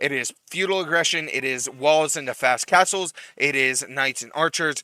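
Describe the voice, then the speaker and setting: At a moderate pace, a man talks with a dry, close sound and no echo. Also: ordinary pitch variation. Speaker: esports caster. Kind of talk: live commentary. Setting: live stream. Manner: loud.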